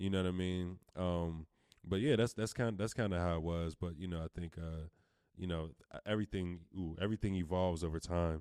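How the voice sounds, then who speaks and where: Speaking at a fairly quick pace, a man with an American accent has a very deep, low pitch, a dark, mellow tone and fairly even intonation. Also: dry, close sound with no echo, very clean recording, silent background. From Pittsburgh, Pennsylvania (Wilkinsburg). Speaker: rapper. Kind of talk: casual chat.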